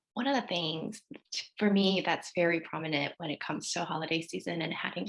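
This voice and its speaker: A woman with an unremarkable speaking voice talks at a moderate pace, fairly low in pitch with ordinary pitch variation. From Korea, raised in US. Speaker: therapist. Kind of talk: podcast panel discussion.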